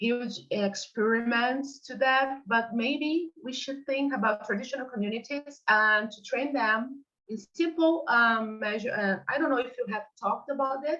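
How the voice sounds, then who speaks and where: A woman speaks with a Portuguese accent. Her pitch is high. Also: ordinary pitch variation, hardly any pauses. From Brazil. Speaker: ecotoxicology researcher. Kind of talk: online workshop discussion. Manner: halting, many fillers.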